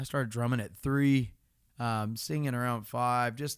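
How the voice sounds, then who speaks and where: The background is silent and the recording very clean. At a moderate pace, the speaker talks with an American accent. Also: man. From Florida. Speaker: podcast co-host and musician. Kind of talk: casual chat.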